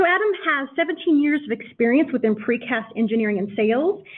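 The woman's words come out at a very fast pace. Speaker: webinar host. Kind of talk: presentation introduction. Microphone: video call.

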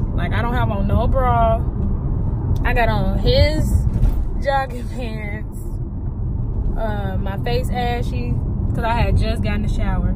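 A woman at a very slow pace, dry with no echo, over loud background noise. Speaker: vlogger. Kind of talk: casual vlog chat. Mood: bummed, complaining. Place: car. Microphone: phone near.

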